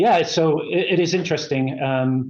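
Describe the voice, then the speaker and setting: A man with a slight British accent, at a fairly slow pace. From England. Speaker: company executive. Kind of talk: interview. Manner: halting, many fillers.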